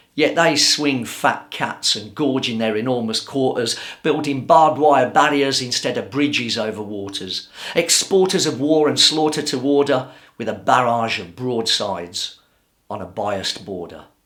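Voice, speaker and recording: A man with a plain, everyday voice speaks at a moderate pace and medium pitch with lively intonation. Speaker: spoken word poet. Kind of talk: spoken word poetry performance.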